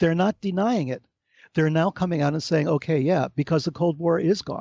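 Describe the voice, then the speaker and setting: The man's voice sits high, and its pitch moves in an ordinary way. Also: moderate pace. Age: 60s. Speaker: author and researcher on UFO phenomena. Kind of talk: interview conversation. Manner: animated.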